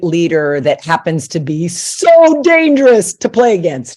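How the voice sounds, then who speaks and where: A woman's unremarkable speaking voice with an American accent, fairly low in pitch, with lively intonation at a fairly slow pace. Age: 60s. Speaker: retired softball coach. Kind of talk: interview podcast.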